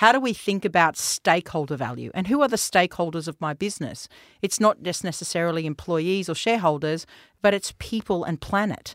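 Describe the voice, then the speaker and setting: Speaking in an Australian accent at a fairly low pitch, a woman uses lively intonation on a very clean recording with a silent background and a dry, close sound with no echo. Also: fairly quick pace. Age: 50s. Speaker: tech company founder and CEO. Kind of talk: interview.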